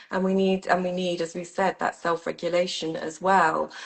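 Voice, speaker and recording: A woman's fairly low voice, monotone and flat in intonation, at a moderate pace. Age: 50s. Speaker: sound healing teacher and mentor. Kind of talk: casual interview chat. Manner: hesitant, many fillers.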